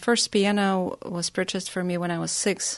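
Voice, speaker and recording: In a slight Russian accent, a woman speaks at a medium pitch with monotone, flat intonation, recorded dry and close with no echo. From Russia (Nizhny Novgorod, Crimea). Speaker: pianist. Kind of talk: prepared song introduction; radio interview. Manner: halting with fillers.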